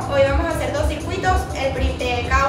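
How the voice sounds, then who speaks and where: Loud music plays behind a woman talking at a fairly quick pace. Audible room echo surrounds her voice. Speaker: fitness instructor. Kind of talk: workout instruction. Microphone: phone near.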